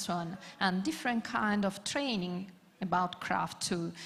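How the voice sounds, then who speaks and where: A woman speaks at medium pitch and a fairly slow pace. Her voice is somewhat breathy. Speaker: panelist, craft network representative. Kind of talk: conference panel talk. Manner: halting, many fillers.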